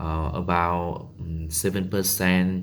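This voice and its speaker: Very slow speech with a Vietnamese accent, plus audible echo from the room. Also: man. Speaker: English learner. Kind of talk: monologue practice. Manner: halting, many fillers.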